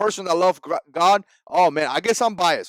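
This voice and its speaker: In a Spanish accent, a man speaks in an animated tone at a fairly quick pace, recorded with a dry, close sound and no echo. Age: 40s. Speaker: political vlogger. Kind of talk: opinion vlog monologue.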